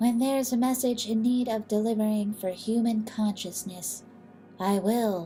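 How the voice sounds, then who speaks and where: Using a put-on character voice, a woman speaks at a fairly high pitch over clear background noise. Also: moderate pace. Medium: read story. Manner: calm, formal.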